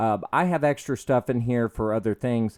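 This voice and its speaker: A man is heard in a very clean recording with a silent background, the sound dry and close with no echo. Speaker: gaming YouTuber. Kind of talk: let's play commentary. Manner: hesitant, many fillers.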